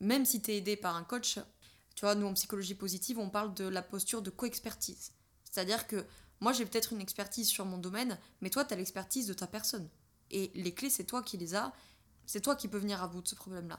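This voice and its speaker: Talking at a very fast pace, a woman uses a medium pitch. Her pitch varies in an ordinary way. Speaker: podcast host and business coach. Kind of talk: solo podcast monologue. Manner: conversational with filler hesitations.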